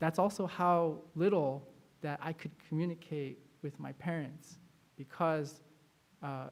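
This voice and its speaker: A fairly high-pitched male voice with fairly even intonation, at a fairly slow pace. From US, Chinese-American second generation. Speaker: pastor. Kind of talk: sermon.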